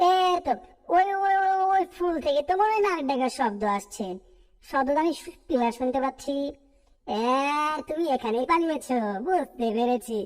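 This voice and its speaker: A woman's cartoonish character voice, pitched high. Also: moderate pace. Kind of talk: cartoon dub acting. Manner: lively, chatty.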